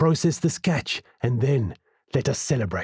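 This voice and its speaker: A man's put-on character voice at medium pitch, lively in intonation and moderate in pace, dry and close with no echo. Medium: read story. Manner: formal, measured phrasing.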